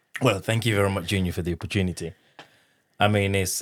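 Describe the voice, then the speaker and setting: In a French accent, a man speaks with a very deep, low pitch and a monotone, flat intonation, recorded very cleanly against a silent background. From Democratic Republic of the Congo. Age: 30s. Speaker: interviewee sharing personal story. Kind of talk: casual conversational interview.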